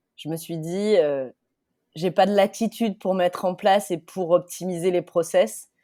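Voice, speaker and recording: On a very clean recording with a silent background, a woman with a Marseille accent speaks at a fairly slow pace and medium pitch, her tone dark and mellow, with ordinary pitch variation and big swings in loudness. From southern France, Marseille / Alpes de Haute-Provence. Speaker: startup CEO. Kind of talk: podcast interview. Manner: animated.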